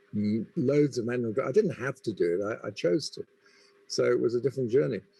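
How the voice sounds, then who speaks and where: A man with an English accent, a dark, mellow tone and a fairly quick pace. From England. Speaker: business school dean. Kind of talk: panel discussion.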